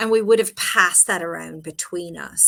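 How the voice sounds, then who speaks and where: In an Irish accent, a woman talks with ordinary pitch variation and a bright, sharp tone. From Ireland, Cork. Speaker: broadcaster and author. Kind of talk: interview.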